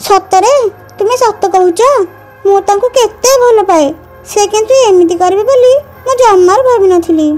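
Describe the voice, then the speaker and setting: Clear music plays in the background as the speaker uses a cartoonish character voice at a fairly slow pace. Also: woman, extremely high pitch for a woman. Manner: menacing, mocking.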